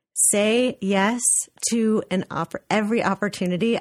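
Here is a woman with an ordinary speaking voice, medium pitch and ordinary pitch variation, talking at a fairly slow pace. The recording is very clean and dry, close with no echo, over a silent background. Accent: American. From US West Coast, Los Angeles. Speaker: art museum director. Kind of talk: radio interview.

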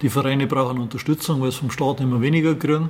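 A man with a Bavarian accent speaks at a fairly high pitch with ordinary pitch variation over noticeable background noise. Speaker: classic car rally organizer. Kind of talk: interview. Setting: in his garage museum.

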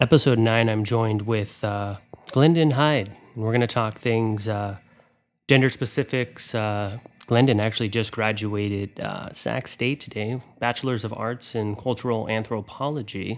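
A plain, everyday voice: a man at medium pitch, fairly even intonation and a moderate pace, in a very clean recording with a silent background. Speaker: podcast host. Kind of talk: casual interview.

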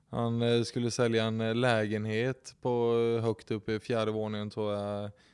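The recording is very clean, with a silent background and a dry, close sound with no echo. A man speaks in a medium pitch. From Kalmar, Sweden. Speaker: real estate agent. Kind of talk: casual chat.

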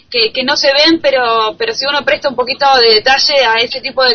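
The woman here has a high pitch. Noticeable background noise sits behind her. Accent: Argentine. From Argentina. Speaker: journalist. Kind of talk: interview. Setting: Skype call. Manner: halting, many repetitions.

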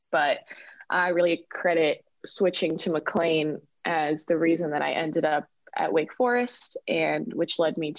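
With an American accent, a woman speaks in a fairly low pitch with ordinary pitch variation and an unremarkable speaking voice. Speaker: professional soccer player. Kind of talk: interview.

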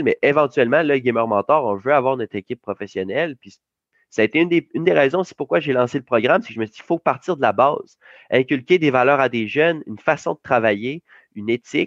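In a quiet background with a dry, close sound and no echo, a man talks very fast. His medium-pitched voice has lively intonation. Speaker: youth esports coach and entrepreneur. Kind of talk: interview. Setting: video call.

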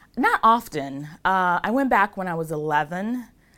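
Lively intonation carries a bright, sharp tone in a very clean recording with a silent background. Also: woman. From Ghana. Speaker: lawyer. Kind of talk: casual interview. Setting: office studio interview.

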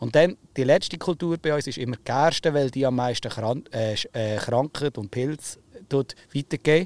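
An ordinary speaking voice moves at a fairly slow pace with ordinary pitch variation, heard dry and close with no echo. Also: man, fairly high pitch for a man. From Oberbaselbiet, Switzerland. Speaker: farmer and podcast host. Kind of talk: casual chat.

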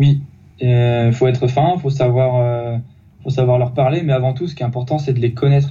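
A man speaks at a medium pitch with fairly even intonation, his voice somewhat breathy and his tone dark and mellow. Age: 30s. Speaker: youth football coach. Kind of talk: interview. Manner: halting, many repetitions.

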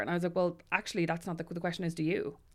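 In a very clean recording with a silent background, a woman speaks with an Irish accent. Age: 30s. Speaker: writer and podcaster. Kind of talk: casual chat. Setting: studio.

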